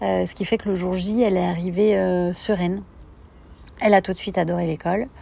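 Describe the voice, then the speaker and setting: A woman speaks at a fairly quick pace with long, frequent pauses. Her voice sits at a medium pitch and has a dark, mellow tone. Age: 30s. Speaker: mother sharing experience. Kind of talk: recorded testimony.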